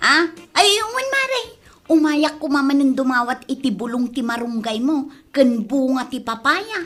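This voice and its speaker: A put-on character voice, female-sounding and high-pitched, at a moderate pace. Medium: audio drama. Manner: evasive, jumpy.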